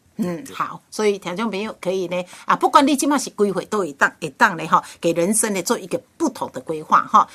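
A woman at medium pitch talks at a fairly quick pace with hardly any pauses, her bright, sharp tone moving through very wide pitch swings. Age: 60s. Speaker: radio host. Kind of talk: radio interview.

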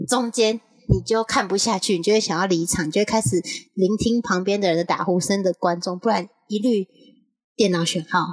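Her sound dry and close with no echo, a woman speaks at a medium pitch and a fairly quick pace with ordinary pitch variation. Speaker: podcast co-host. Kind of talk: casual chat. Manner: animated.

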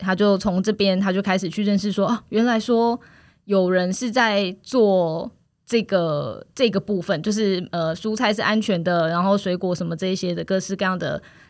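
A woman's medium-pitched, ordinary speaking voice, with fairly even intonation and a moderate pace. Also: very clean recording, silent background. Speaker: food co-op member. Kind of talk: casual interview.

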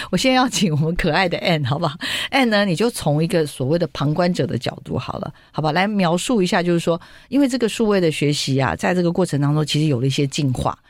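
In a Taiwanese accent, a speaker talks very fast in an animated tone on a very clean recording with a silent background. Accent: Taiwanese Mandarin. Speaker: radio host. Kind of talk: radio interview. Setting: studio.

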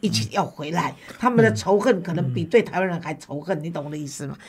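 A woman's voice carries lively intonation and vocal fry. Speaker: talk show host. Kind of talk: interview.

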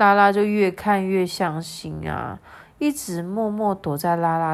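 The words are read aloud plainly. It is simple reading.

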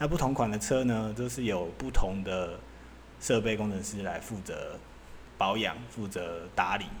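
Audible room echo around a man's fairly low voice, moderate in pace and ordinary in pitch variation. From Taiwan. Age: 40s. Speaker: podcast host, former semiconductor equipment engineer. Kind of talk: casual solo monologue. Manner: loose, filler-heavy, casual with swearing.

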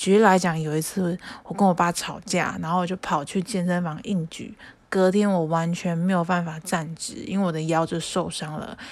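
On a very clean recording with a silent background, a woman speaks at a fairly low pitch and a moderate pace in a monotone, flat way. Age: 20s. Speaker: podcast host. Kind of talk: casual solo chat.

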